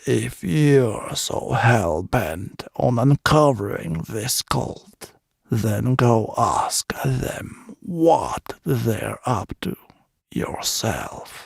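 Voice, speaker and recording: The voice is a put-on character voice. Its pace is very slow. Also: man, medium pitch for a man. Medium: read story. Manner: curt, irritable.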